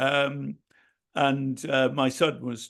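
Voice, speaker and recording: A man with a medium pitch talks in a monotone, flat intonation. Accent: Welsh. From Wales. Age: 70s. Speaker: poet and retired hospital architect. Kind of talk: casual interview. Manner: halting with many fillers.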